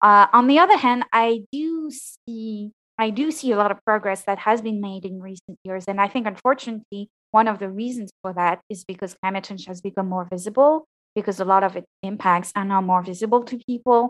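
The speaker has a French accent and moves at a fairly quick pace. Pitch varies in an ordinary way, while loudness swings widely. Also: woman, medium pitch for a woman. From France. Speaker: postdoctoral climate researcher. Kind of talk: interview, casual professional conversation. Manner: hesitant, with fillers and repeats.

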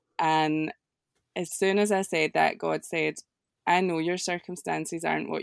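In a very clean recording with a silent background, a woman with a Scottish accent speaks at a moderate pace, the sound dry and close with no echo. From Scotland. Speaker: prayer coordinator. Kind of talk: casual chat.

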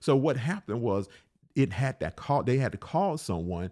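Here a man speaks with an Alabama accent and lively intonation. The recording is very clean, the background silent. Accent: Southern US (Alabama). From US South, Alabama. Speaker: pastor. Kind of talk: podcast sermon. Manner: repetitive, halting with fillers.

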